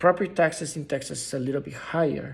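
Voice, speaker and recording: Somewhat breathy, a fairly high-pitched man speaks with fairly even intonation. His pace is moderate. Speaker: real estate investing YouTuber. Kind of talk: informal tutorial. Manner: halting, many fillers and restarts.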